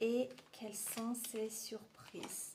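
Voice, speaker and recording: A woman with an Armenian accent and a fairly high pitch. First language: Armenian (speaking French). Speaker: tarot reader. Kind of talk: tarot reading.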